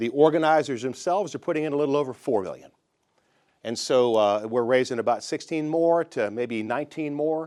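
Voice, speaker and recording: A man with a Southern US accent, a fairly high pitch, ordinary pitch variation and a fairly quick pace, over a quiet background. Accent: US South. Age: 60s. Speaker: bank founder. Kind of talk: investor pitch. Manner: casual, conversational.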